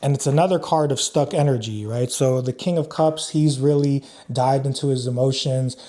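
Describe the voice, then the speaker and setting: A man's fairly high-pitched voice with a dark, mellow tone, fairly even intonation and a fairly quick pace. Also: very even loudness. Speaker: tarot reader. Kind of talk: tarot reading. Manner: casual, filler-heavy.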